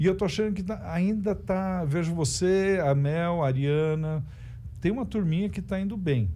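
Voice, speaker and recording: A man with a dark, mellow tone and a high pitch talks at a moderate pace with ordinary pitch variation and audible room echo. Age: 60s. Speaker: stand-up comedian. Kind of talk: casual chat. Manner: halting.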